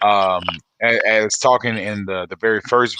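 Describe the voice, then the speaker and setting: A man speaks at a fairly low pitch. The sound is dry and close with no echo. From US Midwest, St. Louis, Missouri. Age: 30s. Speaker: singer-songwriter. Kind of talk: interview. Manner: halting, many fillers.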